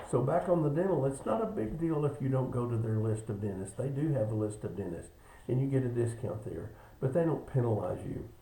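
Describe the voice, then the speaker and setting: Over noticeable background noise and audible room echo, a man speaks at a fairly quick pace with a medium pitch. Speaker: insurance agent. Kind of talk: benefits presentation video. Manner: fast.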